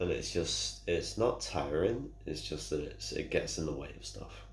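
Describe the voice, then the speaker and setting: With a Manchester accent, a man speaks at a fairly slow pace in a very deep, low pitch with vocal fry, and the room echo is audible. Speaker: gamer streamer. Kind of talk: casual vlog update. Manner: halting.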